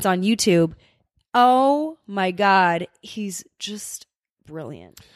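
A woman speaks with a Californian accent in an animated tone, her pitch medium with ordinary variation. The recording is very clean with a silent background, and the sound is dry and close with no echo. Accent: general American (Californian). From Los Angeles, US West Coast. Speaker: podcast co-host. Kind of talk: casual chat. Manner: laughs often.

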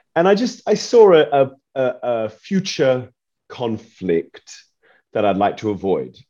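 A man with a medium pitch and a dark, mellow tone speaks at a very slow pace, his pitch swinging very widely. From Perth, Western Australia. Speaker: opera singer and nutritionist. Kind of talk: interview.

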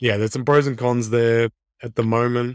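A man's moderately paced speech in an Australian accent, very clean recording, silent background. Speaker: fantasy football podcast co-host. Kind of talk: casual chat.

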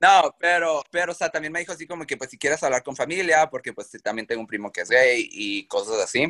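A man's bright, sharp voice with vocal fry, lively intonation and big swings in loudness, at a fairly quick pace in a dry, close sound with no echo. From Mexico. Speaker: reality show contestant. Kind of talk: interview.

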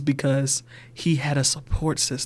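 A somewhat breathy male voice. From US South, Georgia. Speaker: banker. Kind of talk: casual chat.

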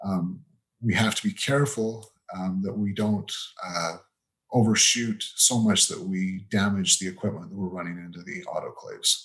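Speaking at a moderate pace with a western US accent, a man keeps his intonation fairly even while his loudness swings widely. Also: fairly low pitch for a man. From Utah, US. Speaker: temperature metrologist. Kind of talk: interview.

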